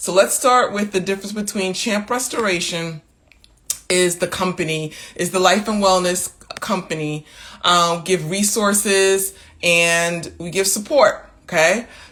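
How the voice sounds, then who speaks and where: A woman uses a normal speaking voice at a medium pitch. She talks at a fairly slow pace with fairly even intonation. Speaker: wellness coach running an online women's community. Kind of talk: live social media talk to followers. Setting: Instagram live stream. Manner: casual, with many fillers.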